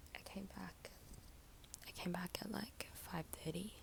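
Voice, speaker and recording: A whisper at a fairly slow pace. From Australia. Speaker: psychology student vlogger. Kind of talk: casual vlog talk. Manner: soft-spoken.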